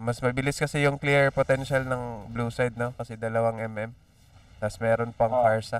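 A man's medium-pitched voice at a moderate pace, with monotone, flat intonation. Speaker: esports caster. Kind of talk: live commentary.

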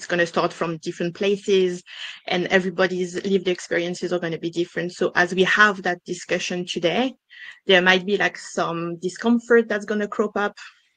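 Against a quiet background, a woman speaks in a monotone, flat intonation with a French accent. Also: fairly quick pace, dry sound with no echo. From France. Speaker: diversity and inclusion consultant. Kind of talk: business webinar interview. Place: home room. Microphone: headset.

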